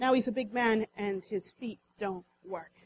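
A woman's fairly high, somewhat breathy voice comes through with a dry, close sound and no echo. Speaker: preacher. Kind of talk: sermon. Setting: church.

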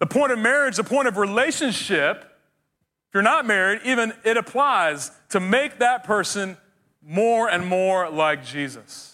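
The voice is raised and projected, bright and sharp in tone, with lively intonation. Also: man, high pitch for a man. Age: 40s. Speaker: pastor. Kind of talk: sermon. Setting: church.

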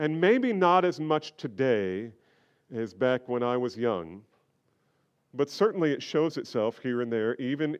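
In an American accent, a man of medium pitch speaks at a fairly slow pace with very wide pitch swings and long, frequent pauses. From New Jersey. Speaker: pastor. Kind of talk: sermon. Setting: church.

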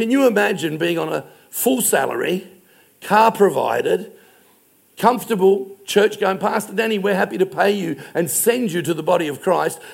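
With an Australian accent, a man talks at a high pitch and a moderate pace with ordinary pitch variation. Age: 60s. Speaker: pastor. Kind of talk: sermon.

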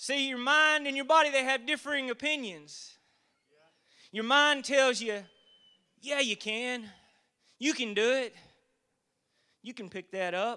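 In a Southern US accent, a man with an extremely high pitch and a bright, sharp tone speaks in a raised, projected voice at a fairly slow pace, with ordinary pitch variation and long, frequent pauses. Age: 40s. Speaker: lay preacher. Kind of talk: sermon. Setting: church.

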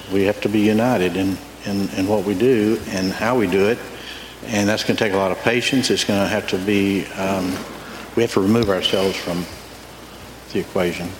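A man speaks at a fairly low pitch in a monotone, flat intonation. His pace is fairly quick yet marked by long, frequent pauses, with noticeable background noise. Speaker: church elder. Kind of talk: testimony. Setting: church.

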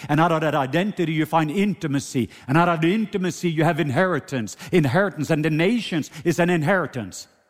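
An animated tone in a Norwegian accent, with ordinary pitch variation at a fairly quick pace. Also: man. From Norway. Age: 50s. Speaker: preacher. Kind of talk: sermon. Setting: church.

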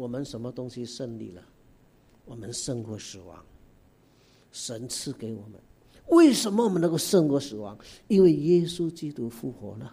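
A man's medium-pitched, somewhat breathy voice with a dark, mellow tone, lively intonation, big swings in loudness, long, frequent pauses and a moderate pace, on a very clean recording with a silent background. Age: 60s. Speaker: guest preacher. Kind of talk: sermon. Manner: animated.

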